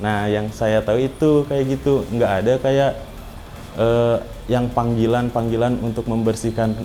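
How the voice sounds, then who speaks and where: Over noticeable background noise, a man talks at a fairly slow pace. His medium-pitched voice keeps a fairly even intonation. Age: 20s. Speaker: cleaner and university student. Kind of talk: interview testimony. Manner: casual, hesitant with fillers.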